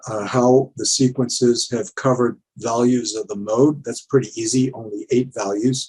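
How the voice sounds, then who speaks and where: A man's medium-pitched voice sounds somewhat breathy as he speaks fairly slowly. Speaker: conference presenter, verification consultant. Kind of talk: technical conference presentation; Q&A answers. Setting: virtual conference. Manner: halting, many fillers; quiet.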